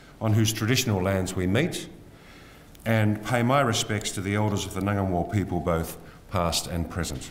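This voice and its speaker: Here a man with a plain, everyday voice talks at a moderate pace, fairly low in pitch with ordinary pitch variation, over light background noise. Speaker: event host. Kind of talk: formal welcome speech. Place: hall. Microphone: podium.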